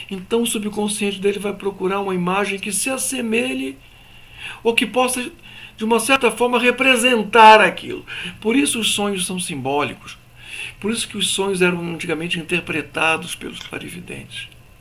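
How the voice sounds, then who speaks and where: A man with a high pitch and lively intonation talks amid audible room echo. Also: moderate pace. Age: 60s. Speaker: spiritual teacher. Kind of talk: lecture. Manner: conversational.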